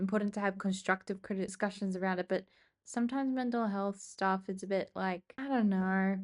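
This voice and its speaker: A medium-pitched woman's voice in an Australian accent, with fairly even intonation over a quiet background. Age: 20s. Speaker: vlogger. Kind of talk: casual chat. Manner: casual, thinking aloud.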